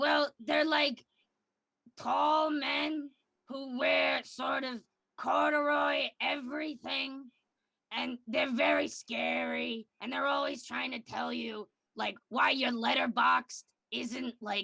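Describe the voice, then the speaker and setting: Someone uses a raspy, put-on character voice at a very slow pace. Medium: game stream. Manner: rambling, filler-heavy.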